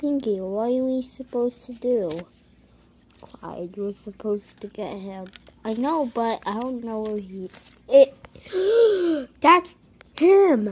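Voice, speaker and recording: A cartoonish character voice, female-sounding and high-pitched, very slow with long, frequent pauses. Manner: anxious, bickering.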